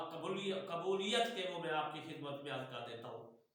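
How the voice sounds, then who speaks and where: There is audible room echo as a man speaks. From Punjab, Pakistan. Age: old. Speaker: retired imam and religious teacher. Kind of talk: religious instruction.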